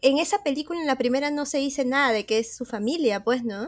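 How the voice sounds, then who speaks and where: Using ordinary pitch variation, a woman with a high voice speaks at a moderate pace. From Lima, Peru. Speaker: podcaster, horror film reviewer. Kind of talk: casual chat.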